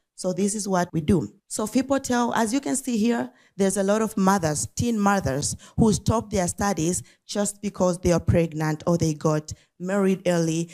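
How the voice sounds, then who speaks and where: A woman speaks at a moderate pace with lively intonation and a dark, mellow tone at medium pitch. The recording is very clean, with a silent background. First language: not English. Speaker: nonprofit founder. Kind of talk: talk at an event. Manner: some hesitation and repetition.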